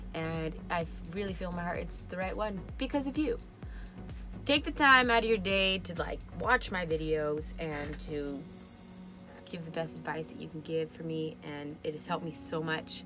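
A woman's voice with big swings in loudness over clear background music. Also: moderate pace. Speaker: vlogger. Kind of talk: casual vlog chat. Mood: grateful, excited, laughing. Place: home room. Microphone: phone near.

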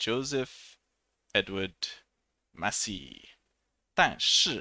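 The recording of this man has a quiet background and a dry sound with no echo. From England, Hertfordshire near St Albans and Watford; England. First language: English (speaking Chinese). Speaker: English teacher. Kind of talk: self-introduction video. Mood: friendly, smiling. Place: home room. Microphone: headset.

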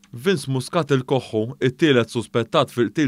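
In an unremarkable speaking voice, a man talks at a moderate speed, his pitch varying in an ordinary way. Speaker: news presenter. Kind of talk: news reading. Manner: formal.

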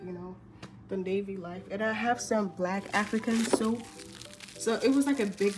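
Medium-pitched woman's voice with music in the background. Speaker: navy sailor. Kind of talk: casual talk to camera.

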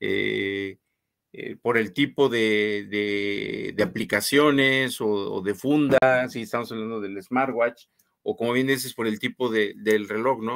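Over a quiet background, a man talks at a very slow pace with fairly even intonation. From Guanajuato, Mexico. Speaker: co-host, knife enthusiast; co-host. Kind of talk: casual live stream chat. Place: home room.

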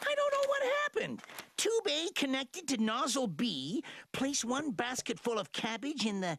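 This is a high-pitched, cartoonish character voice. It moves at a moderate pace. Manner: defensive, flustered.

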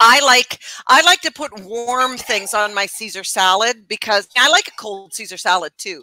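Speech at a fairly slow pace comes through with a dry sound, no echo and a quiet background. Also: woman. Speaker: cooking show co-host. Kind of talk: casual cooking tutorial chat. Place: kitchen.

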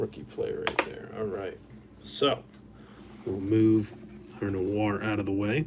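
Long, frequent pauses break up the speech, with noticeable background noise behind it. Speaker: card break host. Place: studio.

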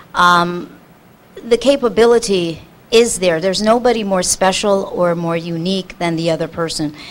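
Here is an ordinary speaking voice from a woman at a medium pitch. She goes at a fairly slow pace with ordinary pitch variation. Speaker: spiritual teacher. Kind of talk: panel talk. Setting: stage with audience.

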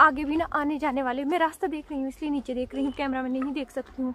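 The pace is moderate. The sound is dry with no echo, with light background noise. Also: woman. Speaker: village vlogger. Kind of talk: casual vlog chat. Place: open country. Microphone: phone near.

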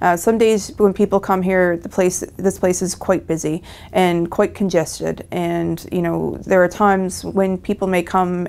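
A woman with a Newfoundland accent speaks at a moderate pace. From rural Newfoundland. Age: young. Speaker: emergency physician. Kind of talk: interview.

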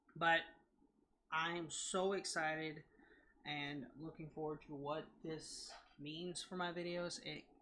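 With audible room echo, a man talks slowly in a fairly high, nasal voice with a bright, sharp tone and fairly even intonation.

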